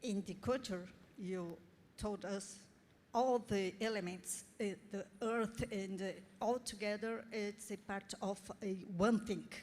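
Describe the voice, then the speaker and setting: A woman speaks very slowly in a Portuguese accent, with fairly even intonation. Her pauses are long and frequent. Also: medium pitch for a woman. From Brazil. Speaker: audience member at expert meeting. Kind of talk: question from the floor. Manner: halting.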